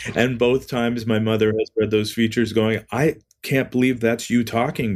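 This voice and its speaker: A man speaks at a moderate pace and medium pitch. He has an unremarkable speaking voice. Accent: Canadian. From Canada, Ontario (Niagara-on-the-Lake). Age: 60s. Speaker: record label owner. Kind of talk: interview podcast.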